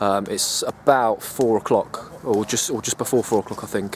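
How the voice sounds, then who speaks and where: A man with an English accent speaks with fairly even intonation. Noticeable background noise can be heard behind him. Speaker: bushcraft vlogger. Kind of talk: casual vlog. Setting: outdoors. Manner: quiet, kept voice down.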